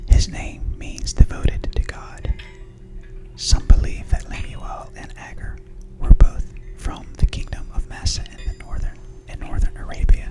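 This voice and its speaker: A whispering voice with a soothing tone moves at a fairly slow pace, with long, frequent pauses and big swings in loudness over music in the background. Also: woman. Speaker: ASMR creator and mother. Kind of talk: reading study notes about the chapter. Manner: whispered, soothing.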